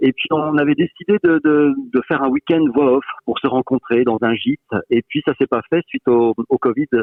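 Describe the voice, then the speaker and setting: An unremarkable speaking voice from a man, fairly high in pitch, with ordinary pitch variation, very even loudness and a moderate pace. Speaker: voice-over artist. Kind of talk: interview answer.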